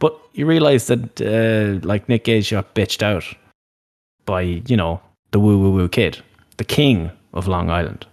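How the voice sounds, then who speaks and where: With an Irish accent and lively intonation, the speaker goes at a fairly slow pace with long, frequent pauses, the sound dry and close with no echo over a quiet background. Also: man, fairly low pitch for a man. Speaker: wrestling podcast host. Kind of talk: casual chat.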